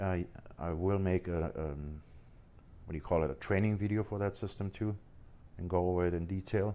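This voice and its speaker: The speaker has a slight German accent, a dark, mellow tone and fairly even intonation. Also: man. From Germany, Munich. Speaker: forex trader streamer. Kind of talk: live stream chat. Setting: live stream. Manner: halting, stumbles over words.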